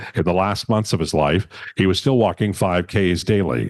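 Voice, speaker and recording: A man's ordinary speaking voice at a fairly low pitch and moderate pace with ordinary pitch variation, in a dry, close sound with no echo and a quiet background. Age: 60s. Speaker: memorial emcee. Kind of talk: eulogy.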